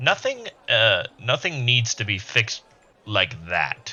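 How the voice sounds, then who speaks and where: The man uses a put-on character voice at a medium pitch. His pace is fairly slow. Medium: actual play.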